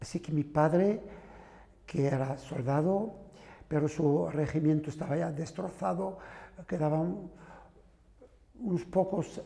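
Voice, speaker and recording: Here a man talks at a high pitch with fairly even intonation. His tone is dark and mellow, and his pace is fairly slow. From southern France. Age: 70s. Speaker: son of exiled Spanish republicans. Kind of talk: testimony. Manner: halting.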